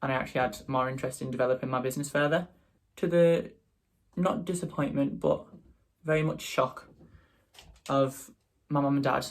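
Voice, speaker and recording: Somewhat breathy, the voice comes in a Teesside accent at a fairly quick pace with long, frequent pauses, in a very clean recording with a silent background. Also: man, fairly high pitch for a man, ordinary pitch variation. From northeast England, Teesside. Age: 20s. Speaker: makeup artist and drag performer. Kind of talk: casual vlog chat.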